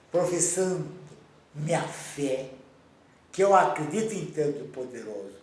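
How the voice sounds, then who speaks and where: Pausing long and often, a man with a fairly high voice speaks over noticeable background noise and audible room echo. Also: lively intonation, fairly slow pace. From Romania. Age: 90s. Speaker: Holocaust survivor. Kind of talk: interview testimony.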